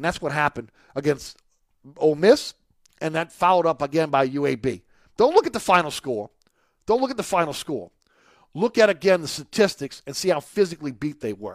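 On a very clean recording with a silent background and a dry, close sound with no echo, a man with a fairly high pitch speaks in an upbeat tone at a fairly quick pace, with lively intonation, big swings in loudness, and long, frequent pauses. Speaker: radio host. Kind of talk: live radio sports talk show. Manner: conversational, upbeat, promotional.

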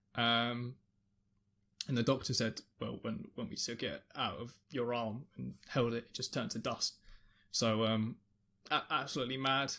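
In a very clean recording with a silent background, a man with a London accent speaks at medium pitch in a bright, sharp tone, leaving long, frequent pauses. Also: ordinary pitch variation, moderate pace. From London, England. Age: 20s. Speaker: streamer and music producer. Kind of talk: personal testimony. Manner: halting, repeats words.

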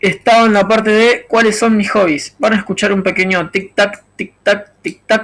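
A man with a Rioplatense accent, high pitch and fairly even intonation. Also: moderate pace. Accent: Argentine Rioplatense Spanish. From Argentina. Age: 30s. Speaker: podcaster. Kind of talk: solo monologue podcast. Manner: improvised, thinking aloud.

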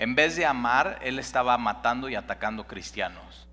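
His medium-pitched voice has a bright, sharp tone with vocal fry as this man speaks at a moderate pace with ordinary pitch variation. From Mexico City. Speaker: pastor. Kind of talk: sermon. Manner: halting.

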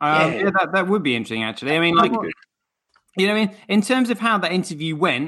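Over a quiet background, a man speaks in a bright, sharp tone. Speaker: livestream show co-host.

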